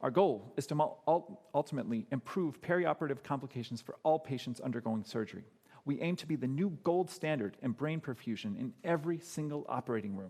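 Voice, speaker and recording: A dark, mellow voice with an American accent, lively intonation, a very fast pace and hardly any pauses. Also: man, fairly high pitch for a man. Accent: American English, said to be a little off. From US Midwest, Chicago. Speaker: medical startup founder, anesthesiology doctor. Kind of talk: pitch presentation.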